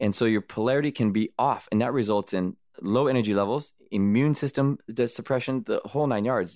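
Speaking with an American accent at a fairly quick pace, a man keeps very even loudness and ordinary pitch variation. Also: medium pitch for a man. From US Southwest (Arizona, California). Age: 40s. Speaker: ultramarathon runner. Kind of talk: interview. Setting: studio. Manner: animated.

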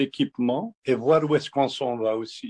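Recorded with a dry, close sound and no echo, a man speaks at a fairly high pitch with ordinary pitch variation. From Algeria, Kabylie. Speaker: honey producer and distiller. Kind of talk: interview. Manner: halting.

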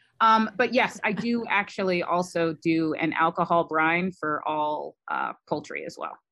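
Speaking with an East Coast American accent, a woman has a fairly low pitch, a bright, sharp tone and ordinary pitch variation. She goes at a fairly slow pace with hardly any pauses against a quiet background. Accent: generic American East Coast. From US Midwest. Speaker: immunology professor. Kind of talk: interview.

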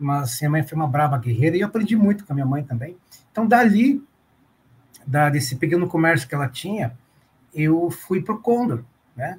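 A man at a fairly high pitch speaks at a fairly quick pace, with very wide pitch swings broken up by long, frequent pauses. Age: 40s. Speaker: retail loss prevention manager. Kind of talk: interview.

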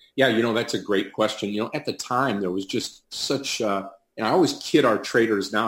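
In an ordinary speaking voice, a man with an American accent talks at a moderate pace and medium pitch with ordinary pitch variation. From US Midwest, Detroit, Michigan. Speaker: professional day trader and trading educator. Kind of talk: interview. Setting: remote call.

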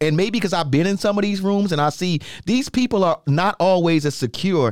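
A man with an American accent speaks at a fairly quick pace. He has an unremarkable speaking voice with lively intonation. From New York. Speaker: podcast host and DJ. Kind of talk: casual chat.

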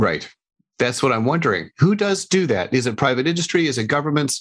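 A man's fairly high, fairly quick voice with lively intonation and vocal fry against a quiet background. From New Mexico. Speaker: podcast host and interfaith center director. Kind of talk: interview.

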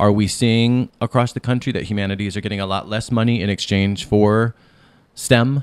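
In a very clean recording with a silent background and a dry, close sound with no echo, a plain, everyday voice moves at a moderate pace with fairly even intonation. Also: man, fairly low pitch for a man. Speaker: podcast host and author. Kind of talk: interview. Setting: radio studio.

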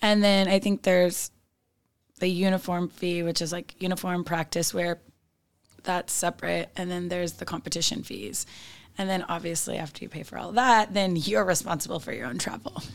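Here a woman has an unremarkable speaking voice. She keeps a moderate pace with ordinary pitch variation. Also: fairly low pitch for a woman. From Northern California. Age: 30s. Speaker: cheerleading coach. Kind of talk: interview conversation. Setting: studio.

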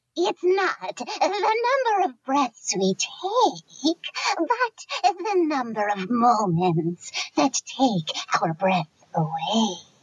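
A put-on character voice, high-pitched, with very wide pitch swings and a very slow pace. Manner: creepy, cackling.

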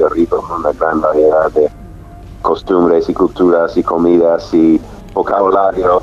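A man speaking at a fairly slow pace with an American accent, noticeable background noise behind him. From US South, Nashville. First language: English (speaking Spanish). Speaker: travel content creator. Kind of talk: interview.

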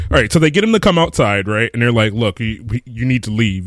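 A man uses a plain, everyday voice at medium pitch with ordinary pitch variation. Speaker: podcast co-host. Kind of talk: casual chat. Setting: live stream.

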